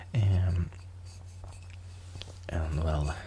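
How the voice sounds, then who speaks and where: Noticeable background noise accompanies this recording. The man's pitch is very deep and low. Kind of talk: ASMR soft-spoken beer collection show-and-tell to camera. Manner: soft-spoken, hesitant with frequent fillers.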